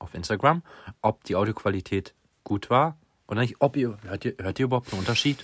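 In a very clean recording with a silent background and a dry, close sound with no echo, a man at medium pitch talks at a fairly quick pace, somewhat breathy and with lively intonation. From Lower Saxony, near Göttingen. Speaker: podcast host, student. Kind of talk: casual chat.

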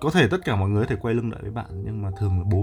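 A man speaks with music in the background. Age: young. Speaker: livestreamer. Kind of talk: casual livestream chat with viewers. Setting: live stream on Facebook. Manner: halting, many fillers.

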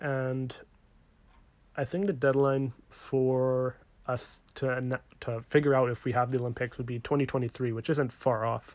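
A man speaks with a Western Canadian accent. His pace is fairly slow and his intonation fairly even. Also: medium pitch for a man. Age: 20s. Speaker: podcast host. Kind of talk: casual sports podcast talk.

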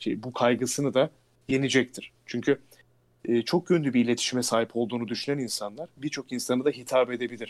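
A man speaks at a moderate pace in a medium pitch. His intonation stays fairly even. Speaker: announcer and voice actor. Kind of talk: casual interview.

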